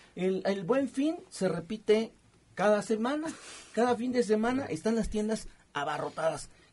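With lively intonation, a man talks fairly slowly in a high voice. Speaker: radio co-host. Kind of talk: radio talk show.

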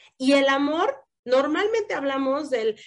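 A woman with an animated tone, ordinary pitch variation and a fairly slow pace. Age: 40s. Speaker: podcast host. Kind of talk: casual podcast chat.

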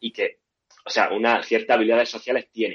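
This man has an ordinary speaking voice. His pitch is medium. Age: young. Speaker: podcast host. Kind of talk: live-stream discussion.

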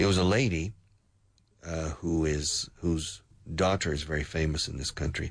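Somewhat breathy and with fairly even intonation, the voice has an American accent against a quiet background. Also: man. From US South. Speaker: radio host and English teacher. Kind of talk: news commentary for English learners. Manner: hesitant, many fillers.

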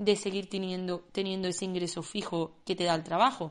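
Speaking at a fairly quick pace, the woman has a medium pitch. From Andalusia, Spain (Córdoba). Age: 20s. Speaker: illustrator and podcast host. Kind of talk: personal monologue.

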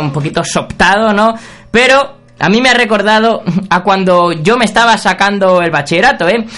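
A man's high-pitched voice with a bright, sharp tone, ordinary pitch variation and a fairly slow pace. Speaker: podcast host. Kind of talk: comedic monologue. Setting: radio studio. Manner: casual.

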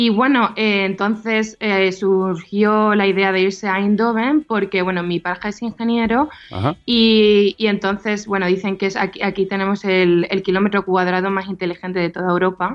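A woman has an unremarkable speaking voice at medium pitch. She talks at a moderate pace with fairly even intonation. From Andalusia, Seville province. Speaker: advertising professional living abroad. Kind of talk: radio interview.

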